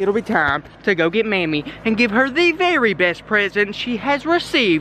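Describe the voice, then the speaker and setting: A man's raised, projected voice with very wide pitch swings at a moderate pace, dry and echo-free, over light background noise. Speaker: vlogger. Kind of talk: casual vlog chat. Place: garden. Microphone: phone near.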